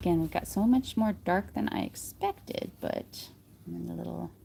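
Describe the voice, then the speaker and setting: A woman speaks in a relaxed tone at a moderate pace. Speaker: polymer clay artist livestreamer. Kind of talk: live crafting tutorial. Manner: thinking out loud, mumbling; casual, relaxed.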